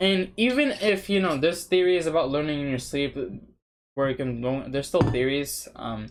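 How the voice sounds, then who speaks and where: In a Spanish accent, a man speaks with a fairly high pitch. His pace is moderate and his pitch variation ordinary. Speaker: language learning vlogger. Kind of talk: casual vlog monologue. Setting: sitting at home in front of webcam. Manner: casual, hesitant with fillers and restarts. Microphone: cheap webcam.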